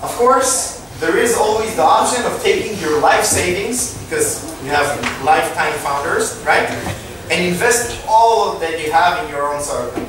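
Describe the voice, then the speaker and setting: There is strong room echo and noticeable background noise around this man. His voice is high, with lively intonation at a moderate pace. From Israel. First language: Hebrew. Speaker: startup co-founder and tech executive. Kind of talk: lecture. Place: hall.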